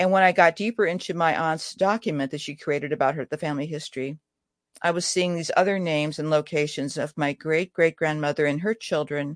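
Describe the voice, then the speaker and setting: In an American accent, a woman with an ordinary speaking voice talks at a fairly low pitch with ordinary pitch variation, in a dry, close sound with no echo over a quiet background. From US Midwest. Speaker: writer. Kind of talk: interview.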